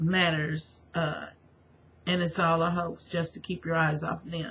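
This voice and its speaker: This woman has a fairly low pitch. She speaks at a fairly slow pace. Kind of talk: religious testimony monologue. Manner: halting, many fillers.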